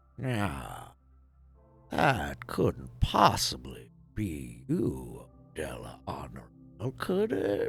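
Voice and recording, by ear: Over faint music in the background, a man in a put-on character voice speaks very slowly at a very deep, low pitch, with long, frequent pauses.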